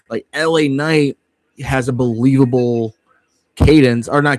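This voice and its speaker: The voice belongs to a man. It sounds dry and close-miked, without any echo. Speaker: wrestling livestream host. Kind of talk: livestream watchalong commentary. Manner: fast; animated.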